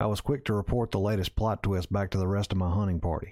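A man's very fast speech in a Southern US accent, fairly low and dark, mellow in tone, with fairly even intonation, on a very clean recording with a silent background. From Mississippi. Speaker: outdoor storytelling podcaster. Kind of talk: scripted narration. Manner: measured storytelling.

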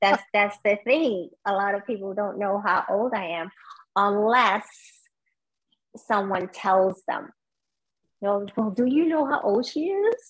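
Using a New York accent, a woman speaks fairly slowly at a medium pitch with ordinary pitch variation and long, frequent pauses. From Brooklyn, New York (born in Guyana). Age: 50s. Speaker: marathon runner. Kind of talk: interview.

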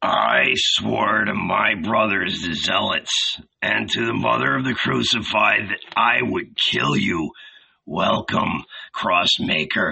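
A put-on character voice comes out raspy and hissing. It moves at a fairly slow pace. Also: man.

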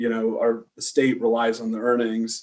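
A man's ordinary speaking voice with an American accent, fairly even intonation and a fairly slow pace. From US West Coast, San Diego. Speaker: fund manager and newsletter publisher. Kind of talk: interview.

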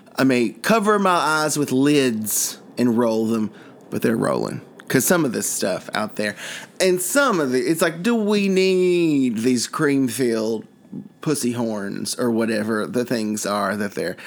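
Against noticeable background noise, a man talks at a fairly slow pace with very wide pitch swings. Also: medium pitch for a man. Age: 40s. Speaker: comedy podcast host. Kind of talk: comedy sketch chat. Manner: animated, joking.

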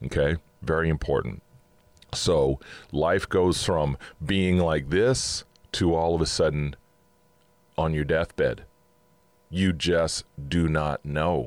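A man's very deep, low voice at a very slow pace, with long, frequent pauses, very even loudness and ordinary pitch variation. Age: 50s. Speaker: podcast host. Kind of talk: inspirational monologue. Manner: casual.

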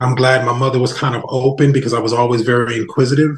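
A man speaks at a very fast pace in an American accent. His voice is somewhat breathy and medium in pitch. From New Jersey. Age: 40s. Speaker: non-profit founder. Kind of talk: podcast interview.

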